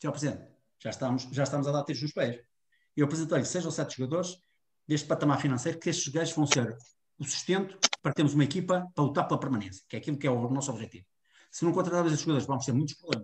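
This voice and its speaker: Somewhat breathy and very fast, a man speaks at a fairly high pitch with ordinary pitch variation. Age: 50s. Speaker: football coach. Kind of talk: interview.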